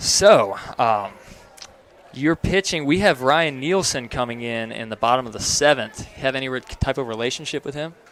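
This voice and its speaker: With an American accent, a man speaks in an ordinary speaking voice at medium pitch and a moderate pace, using ordinary pitch variation and big swings in loudness. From North Carolina coast. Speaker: baseball play-by-play announcer. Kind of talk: live sports commentary with interview. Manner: conversational, casual.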